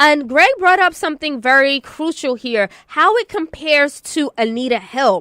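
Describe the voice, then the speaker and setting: Her raised, projected voice is high-pitched, with a bright, sharp tone and very wide pitch swings. The woman talks at a moderate pace with hardly any pauses, in a dry, close sound with no echo. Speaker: radio host. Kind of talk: casual chat. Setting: radio studio.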